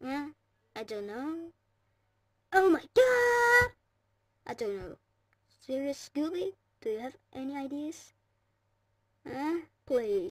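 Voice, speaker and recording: In a high, cartoonish character voice, the speaker swings pitch very widely at a fairly slow pace with long, frequent pauses. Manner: rambling, hesitant.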